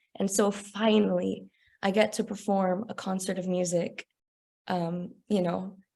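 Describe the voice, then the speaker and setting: With a Texas accent and a dark, mellow tone, the speaker moves at a fairly slow pace in monotone, flat intonation. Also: woman, medium pitch for a woman. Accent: American, Texas. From Texas, San Antonio. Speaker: opera singer. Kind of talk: interview.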